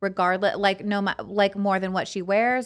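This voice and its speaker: In a very clean recording with a silent background, a woman with an American accent speaks in a plain, everyday voice at medium pitch and a fairly quick pace. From California (Fresno). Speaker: podcast host. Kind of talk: casual chat.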